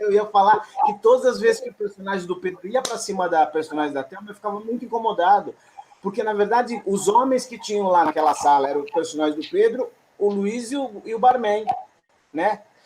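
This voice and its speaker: Speaking at a fairly quick pace, a man with a high voice shows ordinary pitch variation and big swings in loudness. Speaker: theatre audience member. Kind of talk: post-show discussion. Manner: fast.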